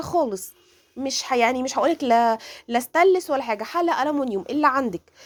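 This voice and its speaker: A woman's high-pitched voice with lively intonation, on a very clean recording with a silent background. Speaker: cooking channel host. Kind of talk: cooking tutorial. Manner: halting, self-correcting.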